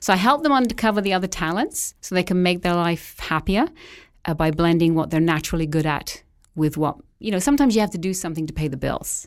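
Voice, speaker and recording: A woman with an English accent speaks at a very fast pace, with lively intonation and a fairly low pitch. The recording is very clean, with a silent background. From England. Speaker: astrology and feng shui consultant. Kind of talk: interview.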